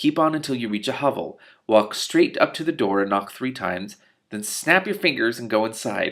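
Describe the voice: Over a quiet background comes plain reading aloud.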